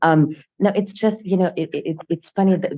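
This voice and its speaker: The speaker is a woman. She talks with a Russian accent. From Russian-speaking country, moved to Nashville at twelve. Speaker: professor. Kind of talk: casual chat.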